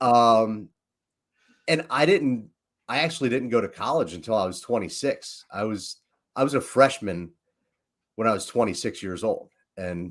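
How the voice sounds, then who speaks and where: In a very clean recording with a silent background, someone with a Philadelphia accent speaks at a fairly slow pace with lively intonation. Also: man. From Philadelphia, US. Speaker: leadership coach and entrepreneur. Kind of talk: casual podcast chat. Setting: livestream.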